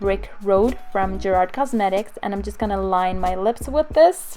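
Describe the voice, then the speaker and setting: A woman talks at a middling speed while music plays behind her. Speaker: beauty vlogger. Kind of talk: makeup tutorial voiceover.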